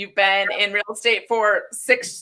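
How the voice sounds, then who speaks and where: A woman's bright, sharp voice. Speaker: podcast host. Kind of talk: casual interview.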